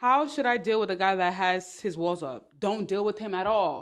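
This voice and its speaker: With a New York accent, a woman speaks at medium pitch with lively intonation. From New York, Brooklyn. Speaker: online business and dating advice streamer. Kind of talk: livestream talk. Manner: fast.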